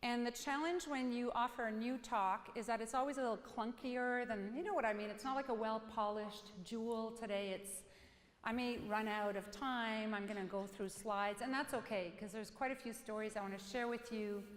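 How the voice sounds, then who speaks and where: The woman speaks at a fairly quick pace with hardly any pauses. Her pitch is fairly high and her intonation fairly even. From French Canada. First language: French. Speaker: psychotherapist and keynote speaker. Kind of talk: keynote talk. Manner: fast.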